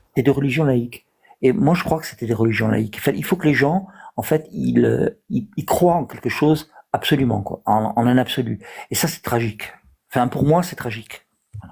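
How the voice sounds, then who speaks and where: Vocal fry runs through a man's medium-pitched voice. He speaks at a moderate pace with lively intonation. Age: 60s. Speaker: live stream participant. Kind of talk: debate. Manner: halting, many hesitations.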